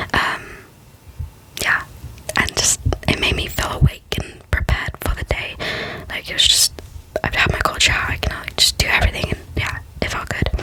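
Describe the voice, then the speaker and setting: Whispering at a moderate pace with long, frequent pauses, a woman speaks over noticeable background noise. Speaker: ASMR creator. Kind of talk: ASMR whisper ramble. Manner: whispered, close up.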